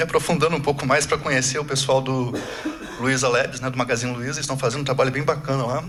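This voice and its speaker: Noticeable background noise is present. This man's delivery is very fast. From Brazil. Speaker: agile coach, conference speaker. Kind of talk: conference talk. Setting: stage with audience. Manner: casual, conversational.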